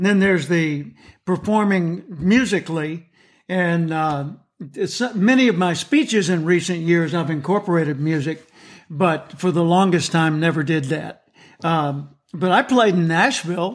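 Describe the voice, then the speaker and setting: On a very clean recording with a silent background, a high-pitched man with an American accent talks at a moderate pace with ordinary pitch variation. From US South. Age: 70s. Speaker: motivational speaker and author. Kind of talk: interview.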